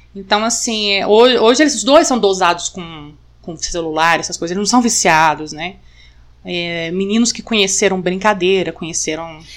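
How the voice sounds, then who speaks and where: A woman speaks in a plain, everyday voice at a moderate pace, her pitch medium with ordinary variation. Her loudness swings widely. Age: 40s. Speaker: author. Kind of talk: casual chat.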